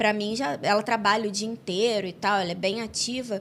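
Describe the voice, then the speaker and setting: Here is a woman with an ordinary speaking voice. She talks at a medium pitch and a moderate pace. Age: 30s. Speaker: podcast host. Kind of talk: casual interview chat.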